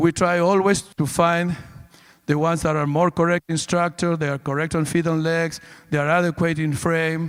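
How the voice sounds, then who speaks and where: Here a man talks in a high voice with a Spanish accent. His intonation is monotone and flat. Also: moderate pace. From Argentina. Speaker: livestock show judge. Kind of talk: judge's reasons at a cattle show. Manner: halting, with repeated words.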